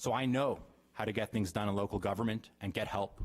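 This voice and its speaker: Very fast is the pace of this man with an American accent. His pitch is fairly low, with ordinary pitch variation. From Davis, California. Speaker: political candidate. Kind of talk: prepared speech. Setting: council chambers with audience.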